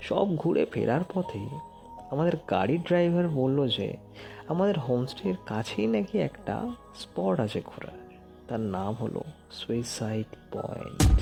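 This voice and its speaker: Very wide pitch swings in a man's voice, with music playing behind. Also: medium pitch for a man. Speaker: horror story narrator. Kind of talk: horror story narration, first-person.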